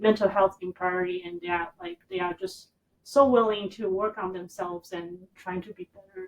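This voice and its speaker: Speaking with a Taiwanese accent, a woman of medium pitch talks at a moderate pace with fairly even intonation. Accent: Taiwanese Mandarin. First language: Mandarin Chinese. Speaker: therapist. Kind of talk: interview answer.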